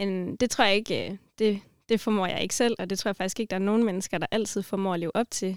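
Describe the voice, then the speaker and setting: In an unremarkable speaking voice, a woman of medium pitch talks with fairly even intonation on a very clean recording with a silent background and a dry, close sound with no echo. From Denmark, Grenaa area. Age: 20s. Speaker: student and mission organisation worker. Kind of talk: casual chat about faith.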